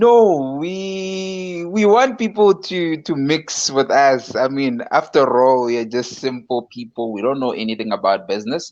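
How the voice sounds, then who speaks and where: A man with a fairly high voice talks at a fairly slow pace with hardly any pauses. His pitch swings very widely. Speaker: online show co-host. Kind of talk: live-streamed casual discussion. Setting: live video stream.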